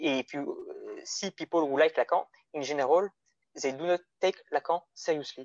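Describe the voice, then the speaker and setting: Delivery comes at a fairly quick pace with fairly even intonation. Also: man. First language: French. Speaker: guest philosophy discussant. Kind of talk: academic discussion. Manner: halting.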